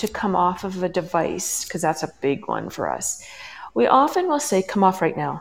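At a fairly slow pace, a woman with a Canadian accent talks in a medium pitch, a normal speaking voice. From western Canada. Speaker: parenting coach. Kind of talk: interview. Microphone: headphones, possible echo.

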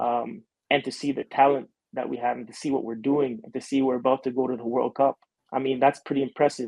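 Speaking with a normal speaking voice, a man holds a medium pitch and fairly even intonation. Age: young. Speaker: professional soccer player. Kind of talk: interview.

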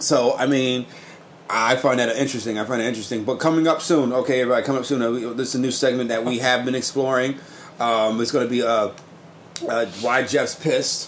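The speaker races along at a very fast pace while noticeable background noise carries on behind. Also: man, medium pitch for a man, fairly even intonation. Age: 30s. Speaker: podcast host. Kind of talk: casual chat.

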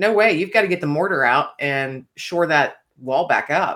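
A woman speaks at a moderate pace in a very deep, low voice, recorded very cleanly against a silent background. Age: 50s. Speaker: author and podcast host. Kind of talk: interview.

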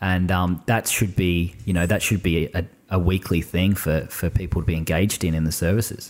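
In an Australian accent, a man with a very deep, low voice speaks at a fairly quick pace with hardly any pauses, very even loudness and fairly even intonation. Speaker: army veteran and business owner. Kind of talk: casual chat.

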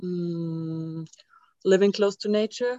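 A woman's voice with ordinary pitch variation. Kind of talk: casual sharing. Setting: video call.

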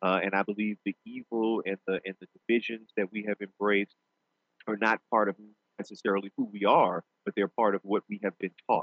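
A man with a New Orleans accent talks at a fairly quick pace in a monotone, flat intonation. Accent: Southern US, New Orleans. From US South, New Orleans. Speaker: pastor and law professor. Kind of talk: interview. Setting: studio.

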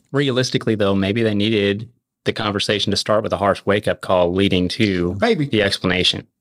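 A man in a plain, everyday voice speaks fairly quickly at a fairly low pitch, keeping his loudness very even. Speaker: podcast panelist.

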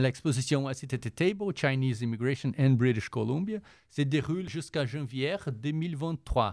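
A man speaks with a Portuguese accent. His pace is fairly slow, with ordinary pitch variation. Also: medium pitch for a man. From Brazil. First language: Portuguese (speaking French). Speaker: volunteer culture columnist. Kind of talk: cultural recommendations segment.

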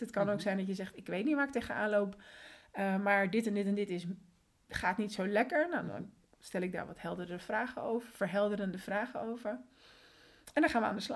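Her voice is a normal speaking voice, a woman at fairly high pitch with ordinary pitch variation and a fairly quick pace. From Netherlands, born in Colombia. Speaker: systemic coach. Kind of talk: casual interview.

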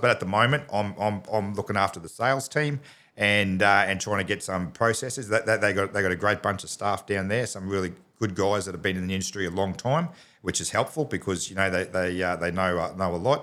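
A man with an Australian accent speaks fairly quickly in a bright, sharp tone on a very clean recording with a silent background. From Australia, Townsville, North Queensland. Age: 40s. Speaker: business owner. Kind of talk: casual interview. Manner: halting, many fillers and repeats.

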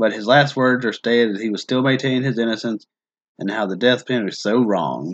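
Speaking at a fairly quick pace, a man uses an unremarkable speaking voice in a medium pitch with ordinary pitch variation. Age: 30s. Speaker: true crime podcast host. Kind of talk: casual chat with case narration.

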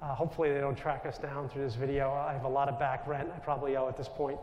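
Speaking with a New York accent, a man talks at a fairly high pitch. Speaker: Jesuit priest. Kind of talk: spiritual talk to audience. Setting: stage with audience. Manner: loud.

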